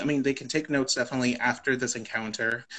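A bright, sharp tone with an American accent over a quiet background. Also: man. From US South, Texas Rio Grande Valley; Texas. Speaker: immigrant rights policy advocate. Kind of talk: know-your-rights explainer in a live conversation. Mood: calm, informative. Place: home room. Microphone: video call.

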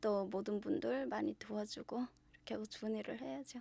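This woman's fairly high voice moves at a moderate pace, with a dry sound and no echo. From North Korea (Yanggang Province); North Korea. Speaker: shaman/fortune teller; guest. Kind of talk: interview. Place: studio. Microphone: studio mic.

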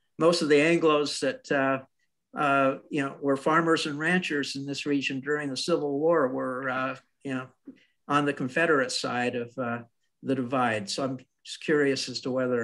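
With a normal speaking voice, a man talks at a moderate pace and medium pitch, his intonation fairly even. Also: very clean recording, silent background. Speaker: congregation member asking questions. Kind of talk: Q&A question.

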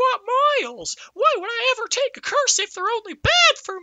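In a put-on character voice, the speaker squeaks at an extremely high pitch and a moderate pace.

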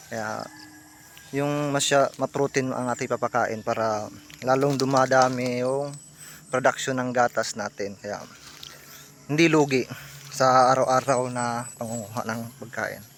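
A man's medium-pitched, flat, monotone voice at a fairly slow pace with long, frequent pauses, over noticeable background noise. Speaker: water buffalo dairy farmer and vlogger. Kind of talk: casual vlog tutorial. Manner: halting, many fillers.

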